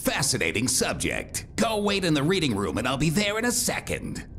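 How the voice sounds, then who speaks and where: A man does a cartoonish character voice, fairly high in pitch, at a moderate pace. Clear background noise runs underneath. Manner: calm, wry.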